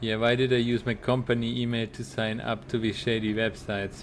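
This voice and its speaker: Someone with a German accent speaks at a moderate pace. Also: man. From Germany. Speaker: video game streamer. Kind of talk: casual gaming livestream chat. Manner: halting, repeats words.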